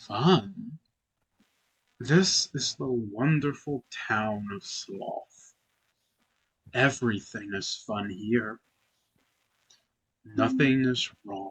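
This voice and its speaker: A put-on character voice from a man, medium in pitch, at a very slow pace with long, frequent pauses. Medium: actual play. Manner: slow, eerie.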